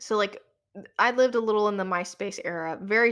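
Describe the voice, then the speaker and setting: The voice has an animated tone. Its pitch variation is ordinary. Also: woman. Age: 20s. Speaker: designer and podcast host. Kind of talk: solo podcast monologue.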